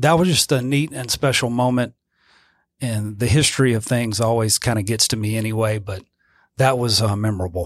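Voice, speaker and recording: Over a very clean recording with a silent background, a man speaks at a fairly quick pace in a medium pitch, with ordinary pitch variation. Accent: Louisiana. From Louisiana, near Baton Rouge. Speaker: church music minister. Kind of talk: interview.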